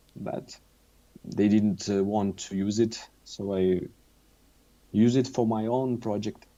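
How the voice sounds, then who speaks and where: A man with a Russian accent speaks at a very slow pace with long, frequent pauses. His voice sits at a fairly low pitch, with monotone, flat intonation. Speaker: musician. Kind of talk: interview. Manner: halting.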